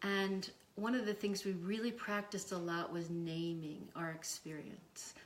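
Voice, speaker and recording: Audible room echo surrounds a woman speaking at a fairly slow pace, her medium pitch carried in fairly even intonation. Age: 60s. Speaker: psychotherapist and university faculty. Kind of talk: casual interview. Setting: in her home. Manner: halting, with fillers.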